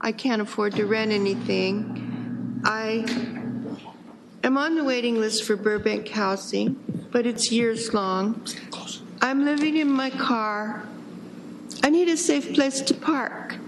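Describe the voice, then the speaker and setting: Speaking at a very slow pace with long, frequent pauses, a woman keeps her loudness very even and her pitch variation ordinary, with audible room echo around her. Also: fairly high pitch for a woman. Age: 60s. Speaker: public commenter. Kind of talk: testimony. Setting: city council meeting.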